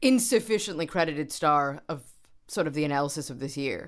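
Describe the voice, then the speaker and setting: In a New York accent, a woman talks with a very deep, low pitch. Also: very clean recording, silent background. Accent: American, New York. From US, New York. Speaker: doctoral researcher, former journalist. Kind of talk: casual chat.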